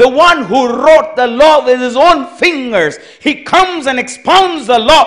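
A man's voice over a quiet background. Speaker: preacher. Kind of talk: call-and-response sermon, explaining commandments with everyday marriage example. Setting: church camp meeting, also streamed online. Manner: interactive, prompting congregation for amens; earnest, reiterating points to clear confusion. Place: tent. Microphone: handheld.

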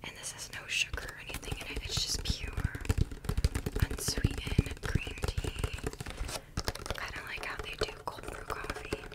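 A soft-spoken woman whispers at a moderate pace, leaving long, frequent pauses. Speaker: video creator. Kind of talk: casual product show-and-tell. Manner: soft close-mic whisper.

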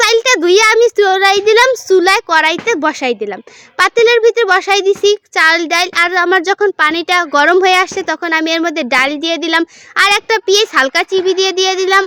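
A woman uses a raised, projected voice at an extremely high pitch with ordinary pitch variation. The sound is dry and close with no echo, and there is noticeable background noise. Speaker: cooking vlogger. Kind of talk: cooking vlog narration.

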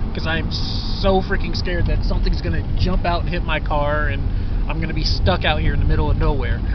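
A man talks against loud background noise. The sound is dry, with no echo. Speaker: road trip vlogger driving. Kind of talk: casual vlog chat. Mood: nervous, scared of darkness. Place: car. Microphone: phone near.

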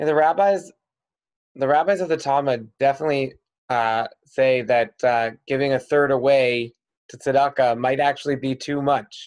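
A man keeps a moderate pace and ordinary pitch variation while the background remains quiet. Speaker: rabbi and moderator; rabbi, moderator. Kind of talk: moderated discussion. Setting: video call. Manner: halting. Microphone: video call.

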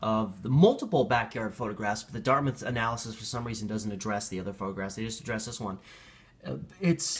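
Talking at a very fast pace, a man sounds somewhat breathy, with ordinary pitch variation. His loudness swings widely. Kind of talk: casual vlog commentary. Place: home room. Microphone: phone near.

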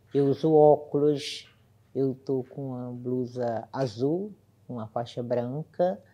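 At a very slow pace, a woman speaks in a very deep, low pitch with a dark, mellow tone, ordinary pitch variation and big swings in loudness. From Brazil, Ceará (Lavras da Mangabeira); Ceará, Brazil. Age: 60s. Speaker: court employee. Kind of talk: testimony. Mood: serious, recounting discrimination. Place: studio.

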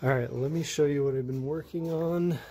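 Noticeable background noise fills the recording. Through it, a man talks with fairly even intonation. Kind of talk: casual vlog chat. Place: garage.

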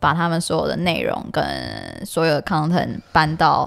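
A woman's fairly low-pitched voice with vocal fry, on a very clean recording with a silent background. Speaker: political podcast co-host. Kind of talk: casual political chat. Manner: loud.

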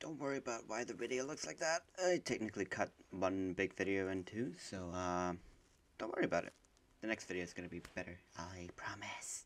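A man speaks quietly at a fairly quick pace in a very deep, low voice with ordinary pitch variation. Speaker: gamer. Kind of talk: let's play commentary. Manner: quiet, sleepy.

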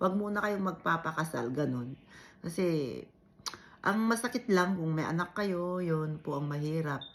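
With an Ilocano accent, a woman speaks at a fairly slow pace and a fairly low pitch. Her intonation is lively. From Ilocos region, Philippines. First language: Ilocano (speaking Tagalog). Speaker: vlogger. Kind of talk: casual vlog chat.

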